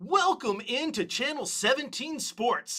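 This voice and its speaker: The speaker uses a put-on character voice pitched high. The delivery moves at a fairly slow pace. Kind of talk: broadcast news. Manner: big, put-on.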